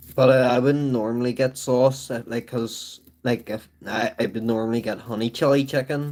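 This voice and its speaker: In a Belfast accent, a man talks at a moderate pace and medium pitch with monotone, flat intonation. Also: hardly any pauses. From Northern Ireland, Belfast. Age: 30s. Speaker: livestreamer. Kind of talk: casual chat. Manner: rambling, many fillers.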